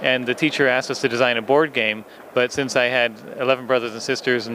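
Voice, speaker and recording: The speech moves at a fairly quick pace in a monotone, flat intonation, with noticeable background noise behind it. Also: man. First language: English (speaking German). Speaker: toy designer. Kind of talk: interview.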